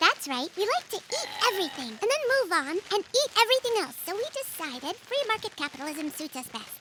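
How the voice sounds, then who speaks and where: In a put-on character voice, a female-sounding speaker talks at a fairly quick pace with extremely high pitch and very wide pitch swings, over clear background noise. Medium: audio drama.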